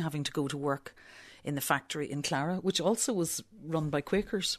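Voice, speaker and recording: Over a quiet background, a woman speaks with a very deep, low pitch, fairly even intonation and a moderate pace. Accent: Belfast. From Northern Ireland, Belfast. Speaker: visual artist. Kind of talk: interview. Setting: studio.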